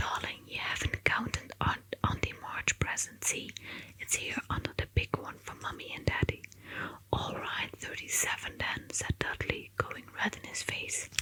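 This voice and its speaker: A woman whispers at a fairly slow pace, with big swings in loudness. Noticeable background noise is present. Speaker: ASMR artist. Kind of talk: whispered audiobook reading for sleep. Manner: whispered, soft-spoken.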